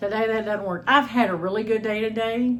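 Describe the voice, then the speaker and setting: With audible room echo, a somewhat breathy woman speaks at a fairly high pitch in an American accent. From Texas. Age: 60s. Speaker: homestead channel host. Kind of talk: cooking vlog, casual chat. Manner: chatty, informal.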